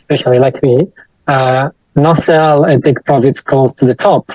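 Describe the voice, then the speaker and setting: In a dry, close sound with no echo, a man with medium pitch speaks at a fairly slow pace with fairly even intonation. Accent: Italian. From Italy. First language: Italian. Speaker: IT professional and online course student. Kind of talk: interview testimony. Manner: hesitant, many fillers.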